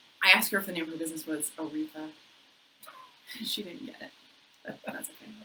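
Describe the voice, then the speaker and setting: The speech runs at a very fast pace with ordinary pitch variation, broken by long, frequent pauses. Noticeable background noise sits behind it. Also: woman, fairly low pitch for a woman. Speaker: realtor. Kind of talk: casual chat. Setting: office. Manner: animated.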